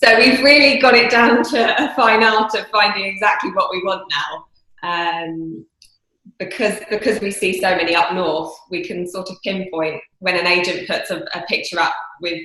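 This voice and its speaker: In a southern English accent, a woman talks at a moderate pace in a medium pitch, with ordinary pitch variation, big swings in loudness, and audible room echo. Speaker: property investor. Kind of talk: interview.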